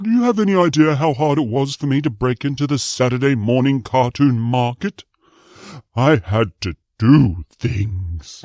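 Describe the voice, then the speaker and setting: Putting on a character voice, a man speaks at a moderate pace and medium pitch. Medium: comedy sketch. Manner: sardonic, interrupting.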